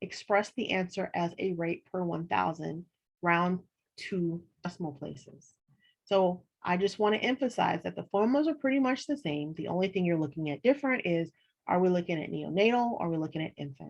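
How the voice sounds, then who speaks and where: A woman with a normal speaking voice, fairly low pitch, lively intonation and a fairly quick pace. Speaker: college instructor. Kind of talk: online lecture.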